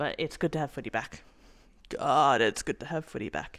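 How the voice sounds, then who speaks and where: A woman with an Australian accent speaks at a moderate pace with lively intonation on a very clean recording with a silent background. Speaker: sports vlogger. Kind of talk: casual vlog commentary. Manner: animated.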